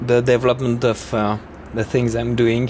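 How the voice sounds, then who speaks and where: Against noticeable background noise, a man talks at a medium pitch and fairly slow pace. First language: not English. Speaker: knife maker. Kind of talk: product explanation video. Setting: workshop. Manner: halting.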